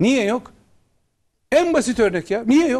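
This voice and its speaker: Against a quiet background, a man speaks fairly slowly at an extremely high pitch. His tone is dark and mellow, and his intonation is lively. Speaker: opposition member of parliament and lawyer; lawyer. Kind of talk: political TV interview. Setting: TV studio, live broadcast. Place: studio.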